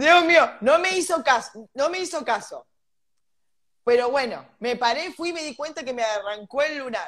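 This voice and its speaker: A high-pitched woman with an animated tone and lively intonation, fairly slow delivery, big swings in loudness, and a quiet background. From Argentina. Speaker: podcast co-host. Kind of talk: casual chat. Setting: live stream. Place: home room. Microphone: video call.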